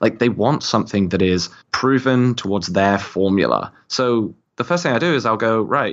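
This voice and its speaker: A man with a British accent talks at a moderate pace in a medium pitch. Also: lively intonation. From UK. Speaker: marketing executive. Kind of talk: interview, casual chat.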